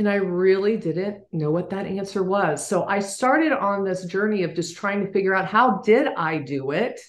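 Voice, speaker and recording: Medium-pitched and moderately paced, a woman speaks with hardly any pauses and ordinary pitch variation. Room echo is audible. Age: 60s. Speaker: business leader and author. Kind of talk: interview. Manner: halting.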